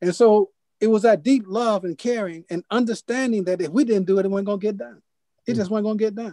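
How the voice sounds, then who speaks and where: High-pitched man with a dark, mellow tone, very fast pace and fairly even intonation, in a dry sound with no echo and a quiet background. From US Midwest (Detroit). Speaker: poet and publisher; poet. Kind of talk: lecture. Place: home room. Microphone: video call.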